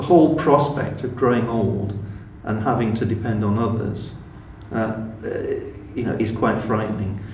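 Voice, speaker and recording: Audible room echo and noticeable background noise surround a moderate-paced speaker who leaves long, frequent pauses. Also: man, medium pitch for a man, ordinary pitch variation. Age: 60s. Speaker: older community group member. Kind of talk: interview testimony. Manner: halting.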